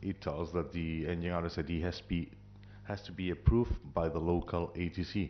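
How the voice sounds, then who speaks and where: Here is a man with a non-native accent. His pitch is very deep and low. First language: not English. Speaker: airline pilot at audience Q&A. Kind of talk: audience question at symposium.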